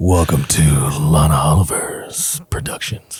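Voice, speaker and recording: In a put-on character voice, a man talks at a fairly slow pace with a raspy, very deep, low pitch. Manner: announcer-like, dramatic.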